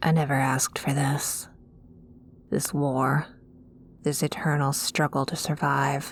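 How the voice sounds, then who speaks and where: In a put-on character voice, a woman speaks gruffly with a very deep, low pitch at a fairly slow pace, leaving long, frequent pauses. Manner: brooding, gruff.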